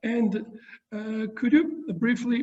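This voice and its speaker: A man with a Georgian accent speaks at a very slow pace. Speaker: university professor interviewer. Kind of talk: interview. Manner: halting.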